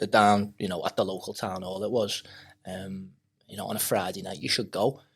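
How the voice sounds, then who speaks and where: The speaker is a man in a Liverpool accent, talking at a fairly quick pace. The recording is very clean with a silent background. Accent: Liverpool (Scouse). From Maghull, Merseyside, England. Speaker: MMA fighter and coach. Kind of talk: podcast interview. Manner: hesitant, many fillers.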